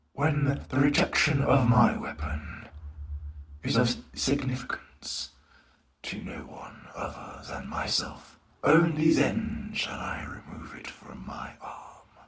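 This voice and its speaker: A man puts on a character voice that is raspy and fairly high-pitched. His delivery is fairly slow. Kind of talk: comic dub performance. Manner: calm, measured, menacing.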